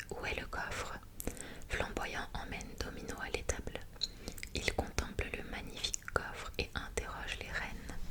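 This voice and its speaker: A woman whispers at a fairly slow pace. Noticeable noise sits in the background. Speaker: ASMR creator. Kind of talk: whispered ASMR story reading. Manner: whispered, soft.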